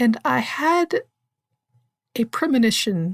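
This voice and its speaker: A somewhat breathy woman at a very slow pace, with very wide pitch swings, on a very clean recording with a silent background. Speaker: author and writing podcast host. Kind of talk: podcast talk. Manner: rambling.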